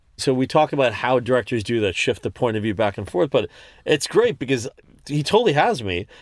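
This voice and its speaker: An unremarkable speaking voice from a man with an American accent, medium pitch, lively intonation and a fairly quick pace, dry and close with no echo over a quiet background. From New York. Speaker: film directing instructor. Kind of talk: casual chat.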